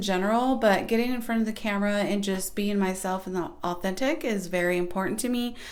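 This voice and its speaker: A soft-spoken woman talks at a moderate pace, with audible room echo. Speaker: small YouTube creator. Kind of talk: casual vlog advice talk.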